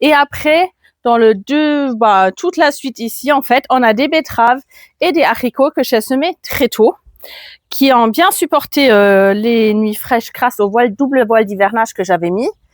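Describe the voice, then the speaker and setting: On a very clean recording with a silent background and a dry, close sound with no echo, a woman speaks fairly slowly in a high pitch with lively intonation. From Germany. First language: German (speaking French). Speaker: gardening youtuber. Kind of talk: garden tour vlog. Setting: outdoors in garden. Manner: casual, with hesitations.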